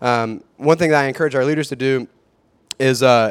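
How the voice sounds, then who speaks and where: A man talks in a normal speaking voice at medium pitch, with fairly even intonation. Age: 30s. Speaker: youth minister. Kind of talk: panel discussion.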